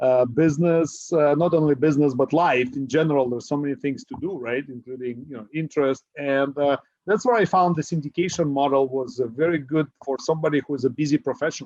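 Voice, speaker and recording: A man with a fairly high pitch rattles along at a very fast pace with hardly any pauses and ordinary pitch variation, the sound dry and close with no echo. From Ukraine. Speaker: real estate investor. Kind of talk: podcast interview. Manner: many fillers (uh).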